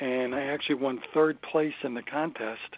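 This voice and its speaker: Speaking with a Brooklyn accent, a man shows ordinary pitch variation. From Brooklyn, New York. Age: 60s. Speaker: stand-up comedian. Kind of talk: interview.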